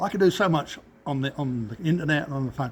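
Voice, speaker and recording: In an East Anglian accent, a man speaks at a fairly high pitch with lively intonation. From England, Cambridge. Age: 70s. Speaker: business owner. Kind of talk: interview. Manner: halting.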